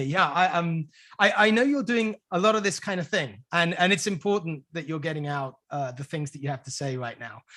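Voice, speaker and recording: Talking at a fairly quick pace with hardly any pauses, a man with a British accent has a high pitch, a bright, sharp tone and lively intonation. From United Kingdom. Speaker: podcast host. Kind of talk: interview. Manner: halting.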